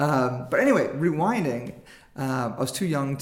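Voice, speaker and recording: Audible room echo surrounds a man speaking at medium pitch and a fairly slow pace, with ordinary pitch variation. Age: 40s. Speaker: filmmaker. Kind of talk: casual interview chat.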